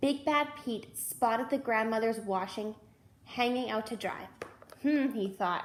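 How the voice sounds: The voice reads naturally. Pitch moves up and down in an ordinary way.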